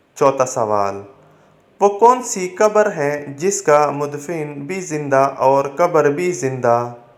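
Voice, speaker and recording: Very wide pitch swings in a fairly high male voice. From Pakistan. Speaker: voice-over artist. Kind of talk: religious story narration.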